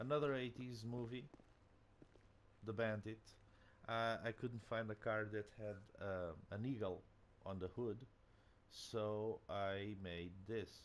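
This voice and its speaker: Using a Portuguese accent, a man speaks at a very slow pace with long, frequent pauses, a fairly low pitch, and fairly even intonation. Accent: Portuguese accent, non-native English. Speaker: gaming video creator. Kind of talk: casual game commentary. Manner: halting, many fillers.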